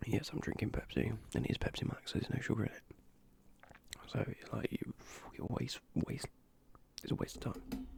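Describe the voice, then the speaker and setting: Whispering with a British accent, someone speaks at a moderate pace with long, frequent pauses. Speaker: ASMR youtuber. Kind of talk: ASMR video commentary.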